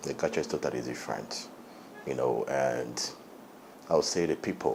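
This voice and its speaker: Noticeable background noise is present as a man speaks at a moderate pace. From Angola. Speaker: reality TV contestant. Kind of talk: interview.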